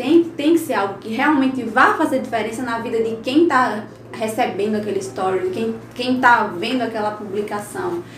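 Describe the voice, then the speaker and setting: A woman talks at a moderate pace with very wide pitch swings, over noticeable background noise and audible room echo. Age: 20s. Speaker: digital influencer. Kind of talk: interview.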